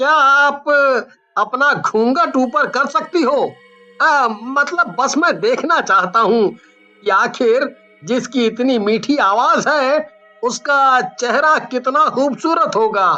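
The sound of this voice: A cartoonish character voice at a very slow pace, with faint music in the background. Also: female-sounding voice.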